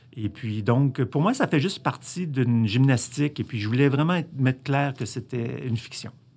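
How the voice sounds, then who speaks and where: On a very clean recording with a silent background, a man speaks at a moderate pace in a plain, everyday voice. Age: 60s. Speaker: filmmaker. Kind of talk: interview.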